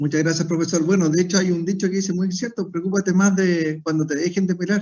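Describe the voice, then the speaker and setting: Talking at a very fast pace, a man with a high pitch keeps a monotone, flat intonation. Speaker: air force officer. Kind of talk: formal event moderation. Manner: formal.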